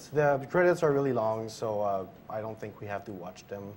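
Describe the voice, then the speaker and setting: Here a man speaks with a French Canadian accent and a fairly low pitch. His pitch varies in an ordinary way. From Quebec, French Canada. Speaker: speedrunner. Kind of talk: live commentary. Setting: live stream event.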